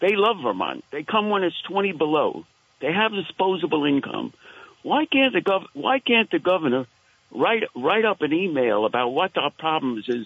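A man with a Brooklyn accent speaks in a high voice with very wide pitch swings. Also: moderate pace. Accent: Brooklyn New York. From Queens/Brooklyn, New York. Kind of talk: call-in comment. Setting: phone call.

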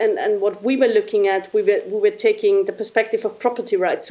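A woman talks at a fairly quick pace with a German accent. Noticeable background noise is present. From Austria. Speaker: researcher. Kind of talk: interview.

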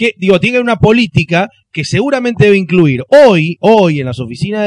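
A man with a Rioplatense accent speaks at a moderate pace with very wide pitch swings. The sound is dry and close, with no echo. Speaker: film commentator. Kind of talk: casual chat.

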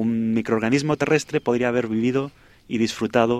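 Delivered in a plain, everyday voice at a fairly quick pace, the speech has fairly even intonation and a dry, close sound with no echo. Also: man. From Spain. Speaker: astrobiologist. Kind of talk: radio interview.

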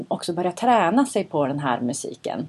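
Moderate pace and fairly low pitch from a woman. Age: 40s. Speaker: podcast host. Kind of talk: casual chat. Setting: studio.

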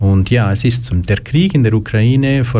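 An unremarkable speaking voice with ordinary pitch variation proceeds at a fairly slow pace. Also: man. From Switzerland, Lucerne. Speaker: youth emotional support worker. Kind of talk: interview. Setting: studio.

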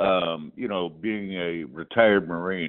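In an American accent, a man with a very deep, low pitch speaks in a monotone, flat intonation. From Wisconsin. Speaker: caller, retired Marine. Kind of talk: voicemail.

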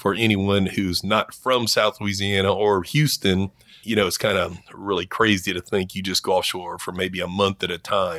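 A man with a fairly low pitch speaks at a moderate pace in a bright, sharp tone, his fairly even intonation captured in a dry, close sound with no echo. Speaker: commercial diving instructor. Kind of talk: interview.

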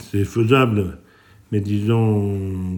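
A man's dark, mellow voice, fairly low in pitch, with monotone, flat intonation. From France, Lozère (Aubrac plateau). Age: 60s. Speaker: cattle farmer. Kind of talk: interview testimony. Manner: halting, with frequent hesitations.

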